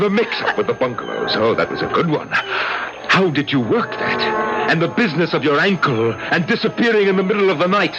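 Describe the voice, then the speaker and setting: Over music in the background, a high-pitched man talks fairly quickly with lively intonation, hardly any pauses, and very even loudness. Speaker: radio drama actor. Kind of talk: radio drama. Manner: agitated, accusatory.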